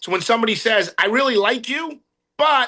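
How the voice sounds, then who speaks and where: Against a quiet background, the speaker uses a raised, projected voice with a bright, sharp tone, an animated delivery and lively intonation. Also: man. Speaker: real estate sales trainer. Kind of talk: motivational training talk. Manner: fast.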